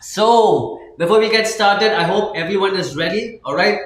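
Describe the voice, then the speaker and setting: A man talks at a moderate pace, and the room's echo is audible. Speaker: stock market live stream host. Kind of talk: live trading stream chat. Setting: live stream. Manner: many fillers, halting.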